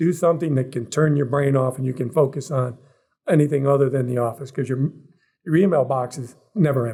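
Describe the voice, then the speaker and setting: A man's somewhat breathy, fairly high voice with a dark, mellow tone and an American accent, at a fairly quick pace, in a very clean recording with a silent background. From US Midwest, Cleveland Ohio. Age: 60s. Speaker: military program manager. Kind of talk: podcast interview.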